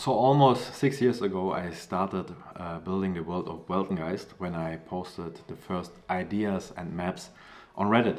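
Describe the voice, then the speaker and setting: A man with a German accent speaks at a moderate pace in a very deep, low pitch with ordinary pitch variation. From Germany. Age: 30s. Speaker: comic creator. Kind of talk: crowdfunding pitch. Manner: casual, with fillers.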